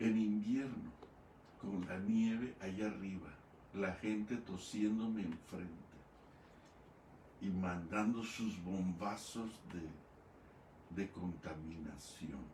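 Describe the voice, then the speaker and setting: A man talks at a very slow pace with long, frequent pauses, his fairly low pitch showing ordinary variation. Room echo is audible. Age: 70s. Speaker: pastor. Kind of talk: sermon.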